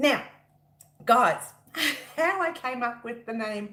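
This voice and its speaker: A woman's fairly slow speech with lively intonation over noticeable background noise. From Italian heritage. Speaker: crochet designer and YouTuber. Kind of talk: casual livestream chat. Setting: live stream. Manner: loud; talkative, excitable.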